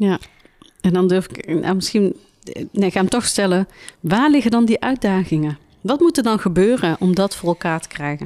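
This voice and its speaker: This woman has a normal speaking voice at medium pitch. Her pace is moderate and her intonation lively. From Tilburg. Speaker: podcast host. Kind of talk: interview.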